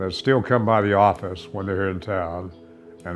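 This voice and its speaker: Music plays in the background as a man with an American accent talks at a moderate pace and a very deep, low pitch. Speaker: longtime stadium announcer and former football official and coach. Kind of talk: interview answer, casual reminiscing.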